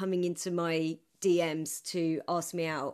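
This is a woman speaking. She talks with an English accent. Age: 30s. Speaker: comedian. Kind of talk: casual chat. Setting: video call.

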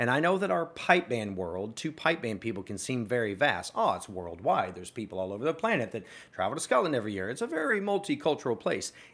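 In an American accent, a man talks at a very fast pace. His pitch swings very widely. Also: medium pitch for a man, hardly any pauses. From US South, small-town Arkansas. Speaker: music educator and entrepreneur. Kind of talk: interview conversation.

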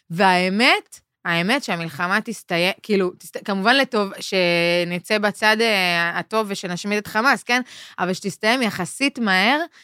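A bright, sharp tone at a fairly slow pace, in a very clean recording with a silent background and a dry, close sound with no echo. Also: woman, medium pitch for a woman, ordinary pitch variation. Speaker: podcast host and stand-up comedian. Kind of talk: casual chat.

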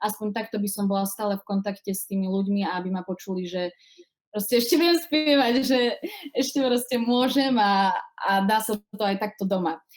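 Ordinary pitch variation and a moderate pace mark this voice with an eastern Slovak accent. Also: woman, medium pitch for a woman. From Slovakia, Košice. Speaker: singer and actress. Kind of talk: casual interview.

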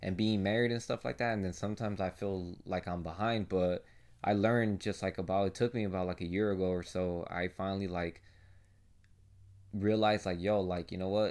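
At a moderate pace, a man speaks with a low pitch and a slightly mellow tone. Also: fairly even intonation.

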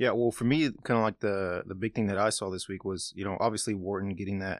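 A man with a plain, everyday voice talks at a fairly quick pace and fairly low pitch with fairly even intonation, the sound dry and close with no echo on a very clean recording with a silent background. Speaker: sports reporter. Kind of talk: casual sports chat.

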